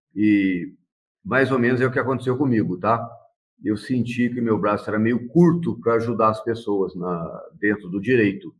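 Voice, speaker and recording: Speaking in a normal speaking voice, a man keeps a medium pitch and a moderate pace, with ordinary pitch variation. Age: 60s. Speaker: lawyer and council candidate. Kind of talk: interview. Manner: casual, with frequent fillers.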